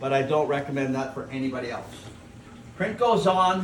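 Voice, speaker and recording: Background noise is noticeable and the room echo is audible. The speaking pace is moderate. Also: man. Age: 70s. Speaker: photographic printer demonstrating gum bichromate printing. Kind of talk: tutorial. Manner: casual, repetitive phrasing.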